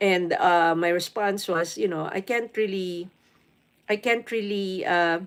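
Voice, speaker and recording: A plain, everyday voice with ordinary pitch variation. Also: woman. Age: 50s. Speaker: live streamer. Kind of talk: casual live stream chat.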